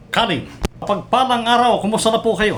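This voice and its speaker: A man's speech carries audible room echo. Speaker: online show host. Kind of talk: interview.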